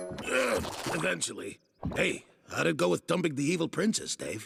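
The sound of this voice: A man performs a raspy, cartoonish character voice at a fairly high pitch. He keeps a moderate pace.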